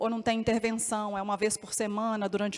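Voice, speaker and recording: A woman's fairly high voice in a Minas Gerais accent at a fairly quick pace. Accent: mineiro. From Minas Gerais, Brazil. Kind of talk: panel talk.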